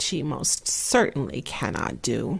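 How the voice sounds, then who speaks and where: A woman speaks at a very slow pace with vocal fry. The recording is very clean, with a silent background. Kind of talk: fairy tale read aloud. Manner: soft-spoken, slow, relaxing.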